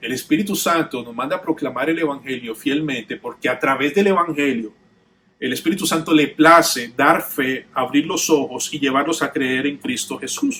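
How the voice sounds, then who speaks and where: At a moderate pace, a man speaks in an ordinary speaking voice, fairly high-pitched, with ordinary pitch variation. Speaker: pastor. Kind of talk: sermon.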